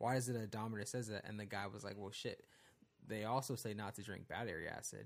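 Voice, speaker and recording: A man with a fairly low pitch speaks at a very fast pace, his intonation fairly even. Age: 20s. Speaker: podcast co-host. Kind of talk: casual chat. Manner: casual and profane.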